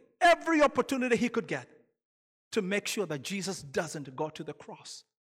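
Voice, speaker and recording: A man with a Kenyan accent, recorded dry and close with no echo. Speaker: lay preacher. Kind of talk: sermon. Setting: church. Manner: halting.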